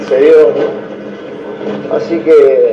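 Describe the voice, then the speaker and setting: Noticeable background noise and audible room echo are both present in this clip. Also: man. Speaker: caller. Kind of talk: casual chat. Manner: halting.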